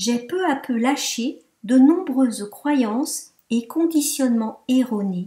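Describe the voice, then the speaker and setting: A high-pitched woman with a dark, mellow tone, lively intonation and a very slow pace. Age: 60s. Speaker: yoga teacher giving a testimonial. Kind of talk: testimony.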